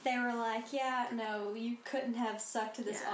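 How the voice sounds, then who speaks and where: Delivery is moderate in pace, with monotone, flat intonation. Background noise is noticeable. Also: woman. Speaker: podcast co-host. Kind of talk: casual chat.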